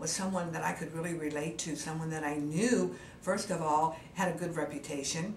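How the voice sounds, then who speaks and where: Over noticeable background noise and audible room echo, a woman speaks in a very deep, low pitch. Her pace is moderate and her intonation fairly even. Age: 70s. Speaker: cosmetic surgery patient. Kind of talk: testimony. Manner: halting, frequent fillers.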